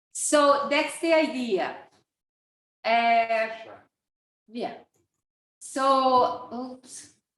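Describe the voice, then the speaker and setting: A woman's high-pitched voice at a very slow pace, with long, frequent pauses, ordinary pitch variation and audible room echo. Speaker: course organizer and teacher. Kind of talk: online course introduction. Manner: deliberately slow.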